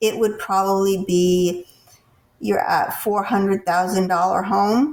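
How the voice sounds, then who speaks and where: A woman with an American accent speaks at medium pitch with fairly even intonation. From US Northeast. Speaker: podcast host. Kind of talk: interview.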